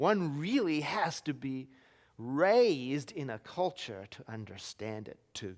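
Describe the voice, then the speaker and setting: A man with a non-native accent speaks at a fairly high pitch, his voice making very wide pitch swings. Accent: foreign. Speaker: minister. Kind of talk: sermon.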